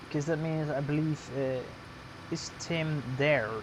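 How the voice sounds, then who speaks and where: A man talks at a fairly slow pace in a fairly high pitch, with fairly even intonation. Audible room echo surrounds his voice. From Netherlands. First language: Dutch. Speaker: gaming streamer. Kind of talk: live stream commentary. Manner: halting.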